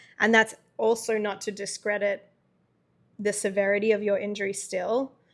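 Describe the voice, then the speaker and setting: Medium-pitched woman with a slight Australian accent, monotone, flat intonation and a moderate pace on a very clean recording with a silent background. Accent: Australian, subtle. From Australia, Melbourne. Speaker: podcast co-host, caregiver. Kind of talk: casual chat.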